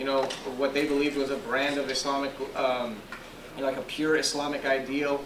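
Noticeable background noise sits under a man talking at a moderate pace. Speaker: professor and moderator. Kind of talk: formal introduction. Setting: stage with audience. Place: classroom. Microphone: handheld.

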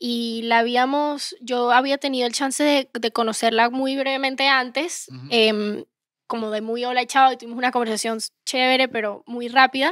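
A woman with a high-pitched voice talks at a moderate pace with fairly even intonation, the sound dry with no echo and the background quiet. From Venezuela, raised in Miami; Venezuela. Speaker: singer-songwriter; guest. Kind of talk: casual interview chat. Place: studio. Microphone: handheld.

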